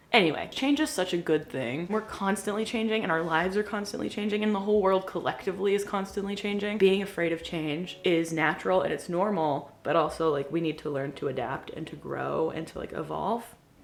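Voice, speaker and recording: Over noticeable background noise, a woman talks at a fairly quick pace with hardly any pauses, medium pitch and lively intonation. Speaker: lifestyle vlogger. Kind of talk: casual chat. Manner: fast; animated.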